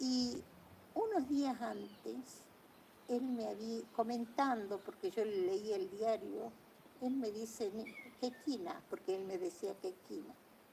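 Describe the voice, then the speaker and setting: A woman with a fairly high pitch speaks at a very slow pace, her intonation lively. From Argentina. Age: 80s+. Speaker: painter telling family history. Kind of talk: casual storytelling conversation.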